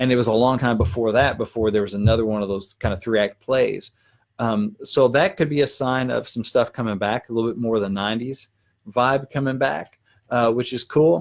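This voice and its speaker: A man with a Southern US accent, medium pitch, ordinary pitch variation and a fairly quick pace, on a very clean recording with a silent background. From Arkansas. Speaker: country songwriter. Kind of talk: live stream Q&A. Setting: live video stream. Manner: fast.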